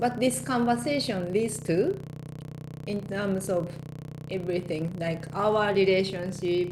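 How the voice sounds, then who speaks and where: With music in the background and audible room echo, a woman speaks in a Japanese accent with lively intonation. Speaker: life coach and hypnotherapist. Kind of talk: casual interview conversation.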